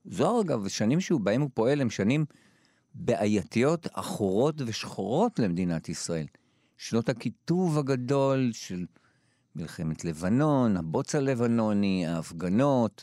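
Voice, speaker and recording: In a very clean recording with a silent background and a dry, close sound with no echo, a man speaks at medium pitch and a fairly slow pace, his dark, mellow tone moving through very wide pitch swings. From Israel, Jerusalem. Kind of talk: interview.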